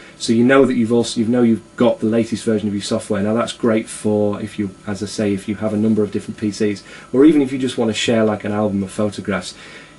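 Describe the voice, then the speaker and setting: Noticeable background noise accompanies a man with a fairly low pitch. He speaks at a very fast pace with fairly even intonation. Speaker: tech video blogger. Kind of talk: casual software review. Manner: hesitant, many fillers.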